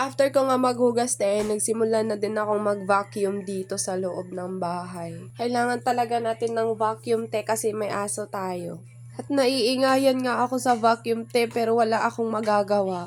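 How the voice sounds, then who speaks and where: A woman at a moderate pace, with ordinary pitch variation and music in the background. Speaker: vlogger. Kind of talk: vlog narration. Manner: casual, chatty.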